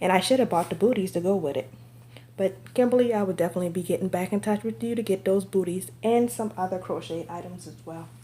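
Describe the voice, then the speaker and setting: A woman with a dark, mellow tone and vocal fry talks at a very fast pace, with very wide pitch swings and big swings in loudness. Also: medium pitch for a woman. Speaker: reborn doll collector and vlogger. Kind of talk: casual show-and-tell vlog.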